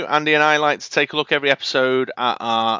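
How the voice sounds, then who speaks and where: A man speaks in a Manchester accent with ordinary pitch variation. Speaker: podcast host.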